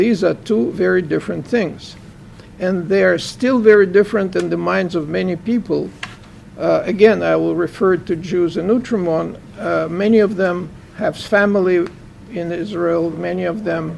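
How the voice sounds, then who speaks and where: A man with a Russian accent speaks at a moderate pace. Noticeable background noise can be heard. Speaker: professor and author. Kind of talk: book launch Q&A interview.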